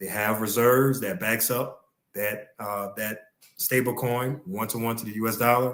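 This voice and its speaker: A man talks at a moderate pace and medium pitch. His is a normal speaking voice with fairly even intonation. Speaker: podcast co-host. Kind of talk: casual podcast discussion explaining crypto.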